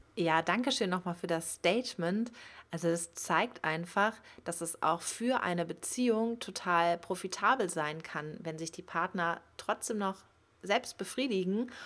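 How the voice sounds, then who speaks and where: On a very clean recording with a silent background, a woman talks at a fairly slow pace with a medium pitch and ordinary pitch variation. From Germany, Cologne area. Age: 30s. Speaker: podcast host, sex educator. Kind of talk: podcast monologue.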